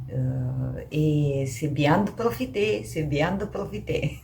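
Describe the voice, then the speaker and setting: A woman with a Romanian accent, amid noticeable background noise and audible room echo. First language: Romanian (speaking French). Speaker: knitting podcaster. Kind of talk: casual vlog chat. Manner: hesitant, many fillers.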